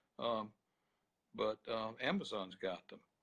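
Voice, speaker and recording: A man with an Alabama accent at a fairly slow pace. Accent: Alabama Southern US. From US South, Birmingham, Alabama. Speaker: attorney and author. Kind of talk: interview. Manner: halting.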